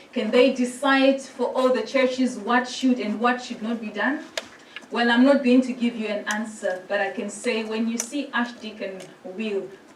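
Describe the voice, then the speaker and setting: A Zimbabwean accent with fairly even intonation, amid noticeable background noise and audible room echo. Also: woman, high pitch for a woman, moderate pace. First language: Shona. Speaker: priest. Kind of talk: presentation to a church synod.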